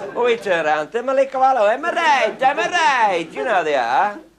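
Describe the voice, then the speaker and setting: Against noticeable background noise, a man's voice swings very widely in pitch. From Cheshire, England. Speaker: explosives expert and raconteur. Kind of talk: humorous anecdote storytelling.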